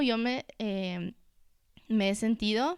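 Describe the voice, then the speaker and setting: A woman with a normal speaking voice talks at a fairly high pitch with ordinary variation, on a very clean recording with a silent background. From Ecuador, Quito. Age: 20s. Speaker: entrepreneur, cosmetics brand founder. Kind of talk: casual chat.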